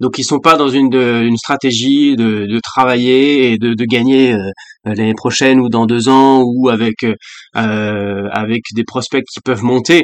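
At a very slow pace, a man talks with medium pitch and fairly even intonation. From France, Paris region (Val-de-Marne). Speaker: former national baseball player and TV baseball commentator. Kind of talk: casual interview chat. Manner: hesitant, many fillers.

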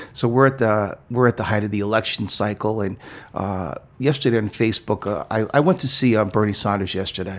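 A man with an American accent has an ordinary speaking voice, fairly low in pitch. He talks at a fairly quick pace with ordinary pitch variation. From New York City. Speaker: pastor. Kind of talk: interview.

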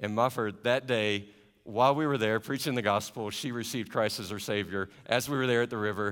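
With a slight Southern US accent, a man talks at a fairly quick pace and a medium pitch. The recording is very clean, with a silent background. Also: fairly even intonation. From US South; Carolinas. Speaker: missionary. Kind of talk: church talk to congregation. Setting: church. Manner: warm, friendly.

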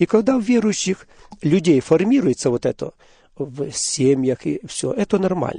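A man's high yet dark, mellow voice with very wide pitch swings, at a moderate pace, in a dry, close sound with no echo. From Ukraine, Poltava region. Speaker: Baptist church minister. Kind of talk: religious radio interview. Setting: studio.

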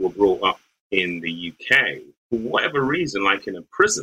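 A man's pace is moderate. He talks with a British accent. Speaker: lawyer. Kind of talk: interview conversation.

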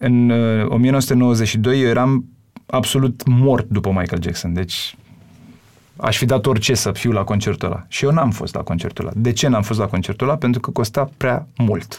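A normal speaking voice from a man, medium in pitch with ordinary pitch variation, at a moderate pace. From Romania, Bucharest. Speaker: singer and songwriter. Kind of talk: casual interview.

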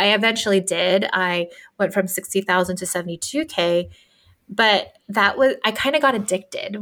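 A woman with an unremarkable speaking voice, medium pitch and ordinary pitch variation speaks at a moderate pace in a very clean recording with a silent background. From US, Filipino immigrant family. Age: 30s. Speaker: business and career coach. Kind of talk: casual chat.

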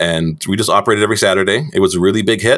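A man with a Canadian accent talks at a very fast pace. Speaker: butcher shop owner and former chef. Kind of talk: interview.

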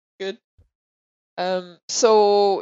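A woman's medium-pitched voice with a French accent and ordinary pitch variation. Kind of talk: casual chat.

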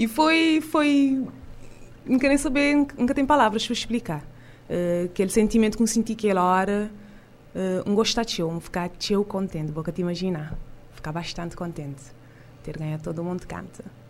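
A woman's medium-pitched voice at a moderate pace, with very wide pitch swings and long, frequent pauses, in a very clean recording with a silent background. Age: young. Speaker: singer. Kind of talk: radio interview. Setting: studio.

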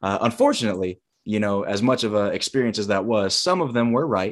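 Against a quiet background, a man with an American accent and an ordinary speaking voice talks at a fairly low pitch and fairly quick pace. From US South, Huntsville, Alabama. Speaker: education consultant and former gymnast. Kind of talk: casual interview.

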